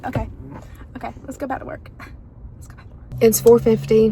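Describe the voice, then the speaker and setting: Noticeable background noise sits behind a fairly quick voice with an American accent. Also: woman. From US South, North Carolina. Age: 20s. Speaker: vlogger and small business owner. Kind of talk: casual vlog chat. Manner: chatty, fillers and repetitions.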